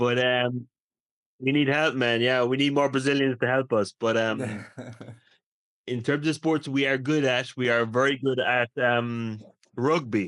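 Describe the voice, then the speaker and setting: Man with an Irish accent at a medium pitch, fairly slow with long, frequent pauses, fairly even intonation, and very even loudness. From Ireland. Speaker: English teacher. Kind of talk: casual conversation.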